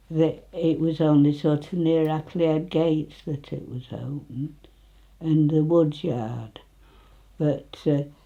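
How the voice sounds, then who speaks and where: This woman speaks with a Nottinghamshire accent. Her pitch is very deep and low, her tone dark and mellow. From northern England, Retford, Nottinghamshire. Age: 90s. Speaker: elderly local resident. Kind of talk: casual reminiscing interview.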